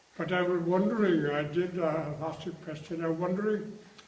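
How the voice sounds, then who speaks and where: Noticeable background noise surrounds a man with a high-pitched voice. He speaks at a moderate pace. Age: 80s+. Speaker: retired international rugby player. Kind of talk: interview answer.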